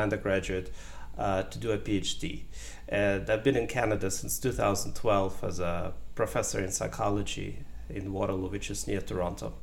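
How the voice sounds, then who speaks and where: A man's voice with audible room echo. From Ukraine, then Germany. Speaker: professor, wisdom researcher. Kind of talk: interview.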